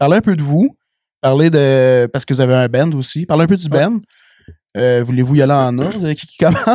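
A man with a Quebec accent speaks at a fairly quick pace in a fairly high pitch, with ordinary pitch variation. His delivery has long, frequent pauses, and the sound is dry and close with no echo. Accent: Québécois French. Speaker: podcast host. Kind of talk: casual chat.

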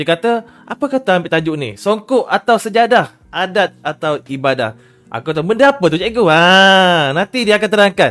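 A man's high-pitched voice moves at a moderate pace, carried by lively intonation. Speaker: livestream host. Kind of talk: casual talk show livestream. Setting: online livestream.

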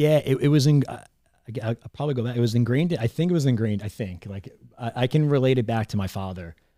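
A man with an American accent talks at a very fast pace in a medium pitch with ordinary pitch variation. His tone is dark and mellow. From Long Island, New York. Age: 30s. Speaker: entrepreneur. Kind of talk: casual chat. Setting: studio. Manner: halting.

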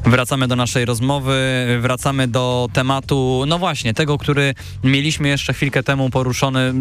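Noticeable background noise sits behind a man's voice. He talks at a fairly quick pace with fairly even intonation. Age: 20s. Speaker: student radio host. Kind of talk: radio interview. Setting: radio studio.

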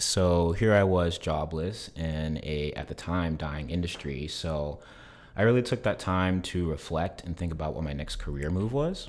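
A man's very deep, low pitch with ordinary pitch variation, at a moderate pace. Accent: American. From South Carolina. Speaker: real estate showing agent. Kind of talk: casual interview.

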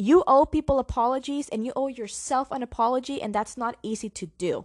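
A woman with a high-pitched voice talks at a moderate pace in a dry, close sound with no echo and a quiet background. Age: young. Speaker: podcast host. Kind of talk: solo podcast monologue. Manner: code-switching Spanish and English.

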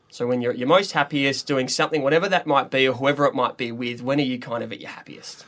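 A fairly high-pitched man with an Australian accent at a very fast pace, ordinary pitch variation, big swings in loudness and hardly any pauses. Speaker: podcast host, army officer. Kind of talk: casual chat.

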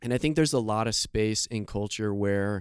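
A man with an American accent and a plain, everyday voice speaks with fairly even intonation. The recording is very clean, with a silent background. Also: dry, close sound with no echo. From Scranton, Pennsylvania, US. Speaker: youth pastor. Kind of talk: interview. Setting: video recording.

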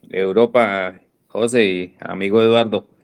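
A man speaking at a very slow pace. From Colombia. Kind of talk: casual comment on an amateur radio net.

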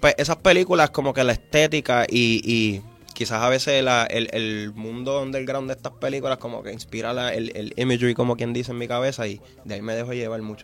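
Fairly quick and with fairly even intonation, a man speaks at a medium pitch over music in the background. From Puerto Rico, Vieques and Fajardo. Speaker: musician. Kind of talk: interview.

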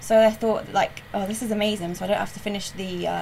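A woman speaks with a West Country accent. There is noticeable background noise. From South West England, Weston-super-Mare. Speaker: graphic designer. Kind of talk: casual chat.

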